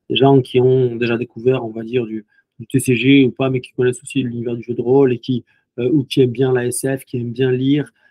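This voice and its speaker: A man talks at a fairly quick pace. His pitch is medium and his intonation monotone and flat. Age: 30s. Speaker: video game company co-founder. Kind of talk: interview.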